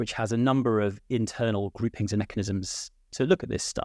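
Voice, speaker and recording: Speaking at a fairly quick pace, a man with a British accent uses a fairly low pitch and ordinary pitch variation. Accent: British, UK English. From UK. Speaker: executive director of a political nonprofit. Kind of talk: moderated debate discussion. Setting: remote, based in Ireland. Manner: hesitant, hedging, many filler words.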